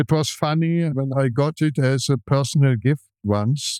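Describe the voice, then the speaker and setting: With a German accent, a man speaks at a fairly high pitch in a dark, mellow tone with ordinary pitch variation, in a very clean recording with a silent background and a dry, close sound with no echo. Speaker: film museum director and film restorer. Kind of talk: interview.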